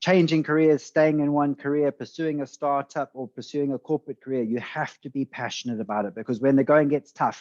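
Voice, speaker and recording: The speaker has a South African accent, and the sound is dry and close with no echo. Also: man, quiet background. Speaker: venture capitalist. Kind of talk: podcast interview.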